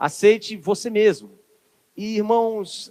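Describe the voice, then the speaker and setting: A man at a high pitch and very slow pace. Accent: Ceará. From Brazil, Ceará. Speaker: preacher. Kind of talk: sermon. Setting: church service streamed on camera.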